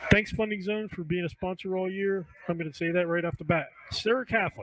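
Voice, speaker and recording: Loud and very fast, a man with an American accent and a high pitch speaks with fairly even intonation over noticeable background noise. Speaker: high school football show host. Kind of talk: casual sports panel chat.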